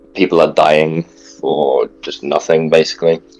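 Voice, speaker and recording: A man speaks fairly slowly. Behind him, music can be heard. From outside Britain. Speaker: podcast co-host. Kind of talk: news analysis discussion.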